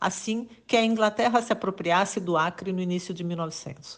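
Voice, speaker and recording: In an unremarkable speaking voice, a woman talks at a fairly quick pace with ordinary pitch variation against a quiet background. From Rio Grande do Sul, Brazil. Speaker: journalist. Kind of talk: political commentary monologue. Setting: WhatsApp voice message.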